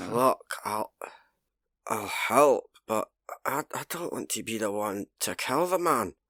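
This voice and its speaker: A man's raspy, put-on character voice at a medium pitch, fairly slow pace with long, frequent pauses, dry and close with no echo, on a very clean recording with a silent background. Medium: machinima. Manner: stammering, agitated.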